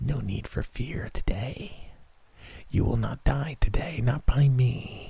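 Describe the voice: Using a put-on character voice, a man speaks at a fairly slow pace and medium pitch. The voice is raspy and hissing.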